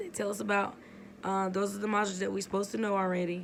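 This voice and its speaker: In a room with audible echo, a woman speaks at a medium pitch with flat, monotone intonation. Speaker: army sergeant at drill sergeant school. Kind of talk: casual vlog.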